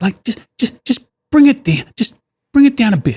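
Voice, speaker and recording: In an Australian accent, a man speaks at a moderate pace in a dry, close sound with no echo. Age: 50s. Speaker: business owner. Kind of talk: casual chat. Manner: loud; animated.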